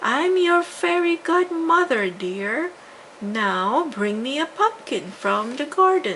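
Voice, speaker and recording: A woman puts on a character voice, high in pitch and with very wide pitch swings. She speaks at a fairly slow pace over clear background noise. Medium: read story. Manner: pleasant, brisk.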